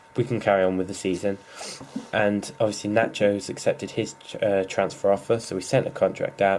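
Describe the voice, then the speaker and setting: A fairly low-pitched man talks at a fairly quick pace with noticeable background noise in the recording. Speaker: gaming YouTuber. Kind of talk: gameplay commentary. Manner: fast; casual, hesitant fillers.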